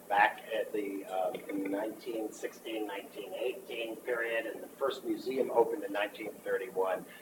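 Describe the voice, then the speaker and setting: A man talks over noticeable background noise. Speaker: art historian, museum presenter. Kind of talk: presentation to a board meeting. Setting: board meeting. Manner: fast.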